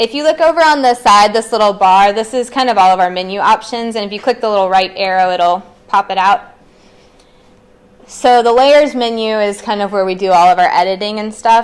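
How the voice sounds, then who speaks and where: Fairly quick speech from a woman, medium in pitch, its pitch varying in an ordinary way. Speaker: librarian. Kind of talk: tutorial. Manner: fast.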